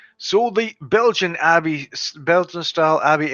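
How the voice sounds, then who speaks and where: Speaking with a Western Canadian accent, a man shows ordinary pitch variation. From western Canada. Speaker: beer reviewer. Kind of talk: casual live stream review.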